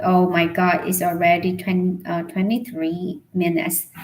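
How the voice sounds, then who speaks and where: A woman speaks quietly. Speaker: English learner livestreamer. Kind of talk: casual livestream chat. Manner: slow; quiet, halting.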